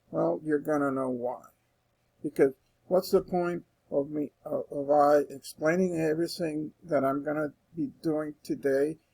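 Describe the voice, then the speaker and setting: A man talks in a normal speaking voice at a fairly high pitch. His intonation is fairly even. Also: dry, close sound with no echo. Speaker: instructor. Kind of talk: tutorial. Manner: casual, with fillers and restarts.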